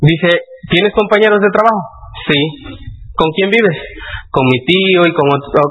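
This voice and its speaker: A man with a Mexican accent talks at a high pitch with lively intonation and very even loudness. He takes long, frequent pauses over noticeable background noise. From Mexico, Puebla. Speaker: motivational speaker. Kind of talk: seminar talk.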